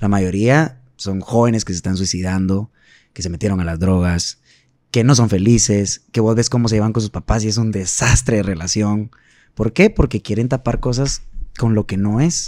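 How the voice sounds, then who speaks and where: Dark and mellow, a man's fairly low voice moves at a moderate pace with ordinary pitch variation, in a dry sound with no echo over a quiet background. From Guatemala. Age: 30s. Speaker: singer; podcast guest. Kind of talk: casual chat. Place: studio. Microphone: studio mic.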